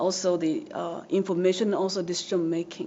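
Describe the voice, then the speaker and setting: In a Japanese accent, a woman speaks at medium pitch. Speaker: social work professor. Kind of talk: academic presentation. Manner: halting, frequent fillers.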